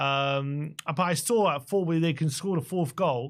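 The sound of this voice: A man's fairly high-pitched voice at a fairly slow pace, with ordinary pitch variation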